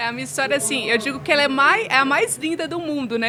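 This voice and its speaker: The voice is raised and projected, with lively intonation at a very fast pace. Noticeable background noise runs underneath. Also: woman. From Brazil, Minas Gerais (Belo Horizonte). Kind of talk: interview testimony.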